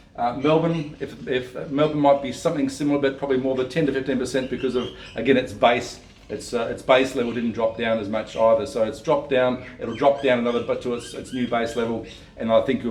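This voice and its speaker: A man with an Australian accent and a medium pitch, at a very fast pace over noticeable background noise. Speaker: property investment adviser. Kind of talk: video talk to camera. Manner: halting, many fillers and restarts.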